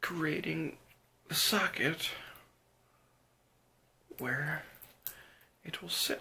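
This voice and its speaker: A soft-spoken, very slow delivery with long, frequent pauses over noticeable background noise. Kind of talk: ASMR roleplay, emergency eye surgery. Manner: softly spoken.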